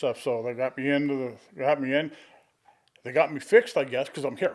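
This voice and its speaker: At a fairly quick pace, a man with an American accent and a fairly high pitch uses ordinary pitch variation in a plain, everyday voice. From Arizona (Tempe, Gilbert). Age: 60s. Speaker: podcast guest, family elder. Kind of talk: casual interview, life stories. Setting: podcast studio.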